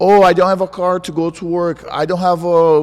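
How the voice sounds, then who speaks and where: Over noticeable background noise, a man with a Brazilian Portuguese accent speaks at a high pitch. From Brazil, João Pessoa. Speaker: jiu-jitsu world champion. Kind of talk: interview. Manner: animated.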